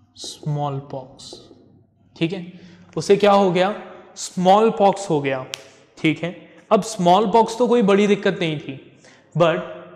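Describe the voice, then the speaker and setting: A man with a high voice talks very slowly, his pitch moving in an ordinary way, with room echo clearly heard. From India. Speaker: English teacher. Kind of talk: lecture. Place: classroom.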